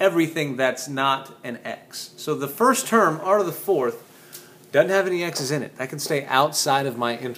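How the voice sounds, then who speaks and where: A man's normal speaking voice, fairly high in pitch, with ordinary pitch variation at a moderate pace. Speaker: physics teacher. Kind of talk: tutorial.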